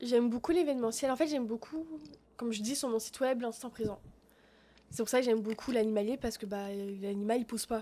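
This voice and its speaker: A woman talks at a very fast pace, broken by long, frequent pauses. Her fairly high voice is dark and mellow, with ordinary pitch variation. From France, Paris. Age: 20s. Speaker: photography student. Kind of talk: casual interview chat. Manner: hesitant, many fillers.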